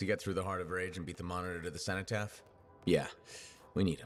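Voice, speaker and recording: Putting on a character voice, a man rasps out his lines at a very fast pace in a very deep, low pitch. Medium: video game. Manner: dry, steady.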